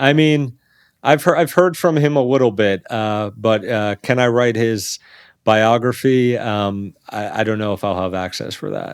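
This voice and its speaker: A man with an American accent speaks at a fairly slow pace and medium pitch with ordinary pitch variation in a plain, everyday voice, captured in a very clean recording with a silent background. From New York City, Staten Island. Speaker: business journalist. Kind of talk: interview.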